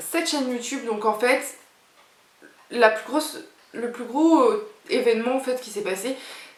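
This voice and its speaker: Her voice is fairly high in pitch. The woman's recording carries audible room echo and noticeable background noise. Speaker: YouTuber. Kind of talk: casual vlog talk to camera. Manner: chatty, hesitant with fillers.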